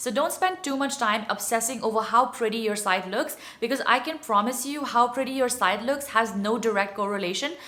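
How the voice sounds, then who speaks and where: A woman speaks at a fairly quick pace in a high voice, with ordinary pitch variation. Noticeable background noise runs underneath. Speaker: blogger. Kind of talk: casual talk to camera.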